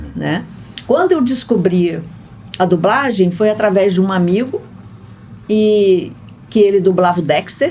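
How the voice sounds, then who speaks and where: A woman's medium-pitched voice at a fairly slow pace, with long, frequent pauses, ordinary pitch variation and noticeable background noise. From Goiás, Brazil. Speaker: voice actress and dubbing translator. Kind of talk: interview.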